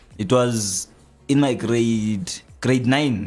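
Here a man talks at a medium pitch. His intonation varies in the ordinary way. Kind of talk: radio DJ patter, station-ID style jingle-like hype intro on a live show. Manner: animated, hyped-up, repeating station name and echoing 'yeah' for emphasis.

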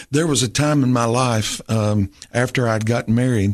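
Against a quiet background, a man with a Southern US accent speaks slowly-ish at a medium pitch, his intonation fairly even. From Tennessee. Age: 50s. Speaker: pastor. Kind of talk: interview testimony. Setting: studio.

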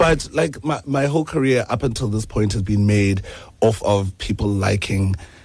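A man's fairly low, somewhat breathy voice with lively intonation at a moderate pace. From South Africa, Eastern Cape. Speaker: singer-songwriter. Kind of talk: radio interview. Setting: radio studio.

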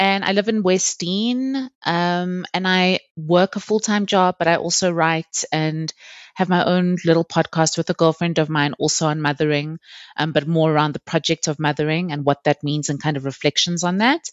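Speaking at a moderate pace, a woman with an ordinary speaking voice has a fairly low pitch and ordinary pitch variation. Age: 30s. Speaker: podcast guest, mother. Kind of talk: casual interview, personal storytelling. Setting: at home, study, remote call.

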